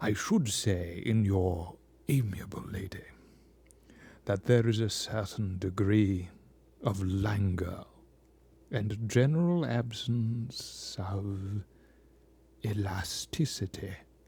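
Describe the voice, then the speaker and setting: In a put-on character voice, a man speaks very slowly with long, frequent pauses, using a resonant, fairly low pitch, a pompous tone and ordinary pitch variation. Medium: read story. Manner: pompous, weighty.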